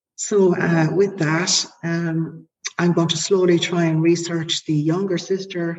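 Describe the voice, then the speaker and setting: In an Irish accent, the somewhat breathy voice moves at a fairly slow pace. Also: woman. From Ireland. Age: 40s. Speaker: podcast guest sharing family story. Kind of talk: personal testimony, largely read from prepared text. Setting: remote call.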